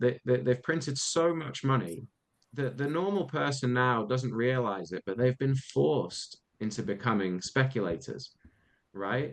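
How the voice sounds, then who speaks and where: A man with a British accent and a medium-pitched voice, speaking at a moderate pace with lively intonation. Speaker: podcast co-host. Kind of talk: casual discussion.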